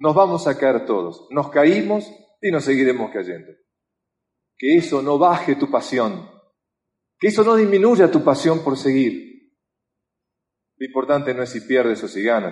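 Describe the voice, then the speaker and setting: A man with a Rioplatense accent, fairly high-pitched, at a fairly slow pace with very wide pitch swings and long, frequent pauses. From Argentina. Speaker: motivational speaker. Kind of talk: motivational talk.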